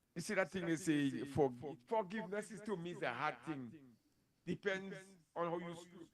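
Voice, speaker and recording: A man at high pitch with ordinary pitch variation, a moderate pace, long, frequent pauses, big swings in loudness, and noticeable background noise. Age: 60s. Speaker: DJ; interview guest. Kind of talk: casual chat. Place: studio. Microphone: handheld.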